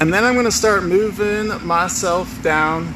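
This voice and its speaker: Pitch varies in an ordinary way. There is noticeable background noise. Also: man. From US South (Georgia, near Atlanta). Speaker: wildlife conservation educator. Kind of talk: live educational walkthrough. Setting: inside an inflatable whale, livestream. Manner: animated.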